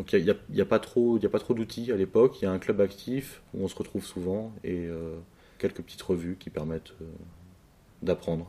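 Dark, mellow tone with big swings in loudness and ordinary pitch variation. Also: man, very deep, low pitch for a man, moderate pace. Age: 30s. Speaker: chess player and club director. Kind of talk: interview. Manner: hesitant, many fillers and repetitions.

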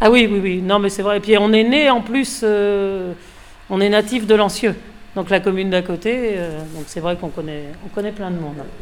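There is noticeable background noise as a woman speaks at a moderate pace, her medium pitch showing ordinary variation. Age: 50s. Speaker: fishmonger. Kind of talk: casual interview.

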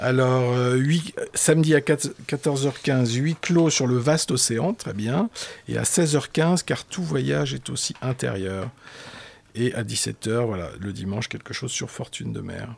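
A man with a medium-pitched voice uses lively intonation, though his pace is very slow. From Tahiti and Madagascar. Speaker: writer and traveller. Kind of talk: radio interview. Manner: halting, many hesitations.

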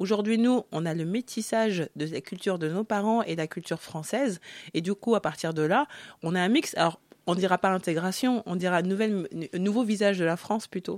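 A woman with a plain, everyday voice talks at a fairly quick pace, medium in pitch with ordinary pitch variation. The sound is dry and close with no echo, in a very clean recording with a silent background. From Africa (Congo). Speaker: author. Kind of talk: radio interview.

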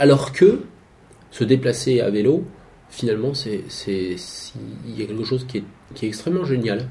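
Lively in intonation, a man speaks at medium pitch and a moderate pace. He leaves long, frequent pauses, and the room echo is audible. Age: 40s. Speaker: cyclist moving house by bike. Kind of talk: casual interview.

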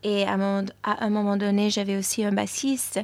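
Her pace is very slow. The woman's pitch sits fairly high. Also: very clean recording, silent background. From New York, US. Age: young. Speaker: musician. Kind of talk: interview. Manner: hesitant, many fillers.

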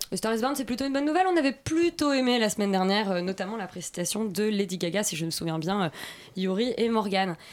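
Very fast speech is delivered with lively intonation. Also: woman, medium pitch for a woman. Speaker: radio host. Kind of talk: radio film discussion.

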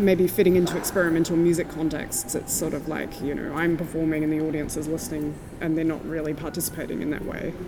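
Noticeable background noise accompanies a woman with a fairly low pitch. She speaks with an Australian accent. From Tasmania, Australia. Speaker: sound artist. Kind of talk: interview. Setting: gallery.

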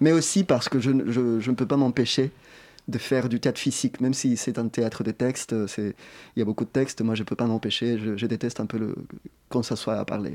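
A man with a medium pitch speaks at a moderate pace in a dark, mellow tone, with fairly even intonation and long, frequent pauses. The sound is dry and close with no echo, on a very clean recording with a silent background. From Chile. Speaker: theatre director. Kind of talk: interview.

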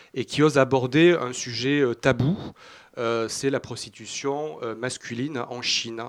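A man's medium pitch with ordinary pitch variation. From Toulouse, southern France. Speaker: film festival director. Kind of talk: radio interview. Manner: halting.

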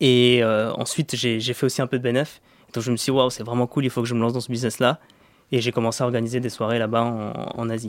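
A man talks at a very fast pace in a medium pitch. His intonation is flat and monotone. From Paris suburbs, Val-de-Marne (Vitry-sur-Seine). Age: 20s. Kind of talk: radio interview. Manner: halting, many repetitions and fillers.

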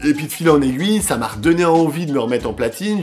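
Noticeable background noise fills the recording. Over it, the man's intonation rises and falls in a lively way. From France. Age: 40s. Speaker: hip-hop producer. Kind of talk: radio interview. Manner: halting, many fillers.

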